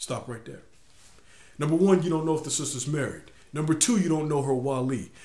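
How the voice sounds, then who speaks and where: Speaking at a moderate pace, a man uses a fairly high voice with ordinary pitch variation. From US, inner city. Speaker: video blogger. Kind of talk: video blog monologue. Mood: earnest, instructive. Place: home room. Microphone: webcam.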